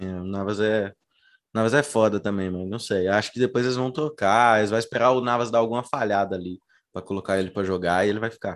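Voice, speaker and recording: A man talks at a very fast pace in a fairly low pitch. His intonation is fairly even, and the background is quiet. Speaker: football podcast host. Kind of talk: casual chat.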